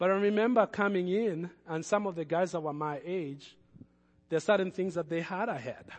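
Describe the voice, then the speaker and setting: With a non-native accent, a man speaks at a moderate pace in a high pitch with ordinary pitch variation. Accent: foreign-accented English. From another country, moved as adult. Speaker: pastor. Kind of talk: sermon. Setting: church. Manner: hesitant, repeats words.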